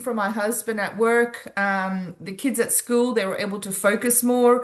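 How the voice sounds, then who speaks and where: A woman with an Australian accent talks at a fairly slow pace against a quiet background. Her pitch sits fairly high, and her intonation stays fairly even. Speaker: wellness product distributor. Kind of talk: sales presentation.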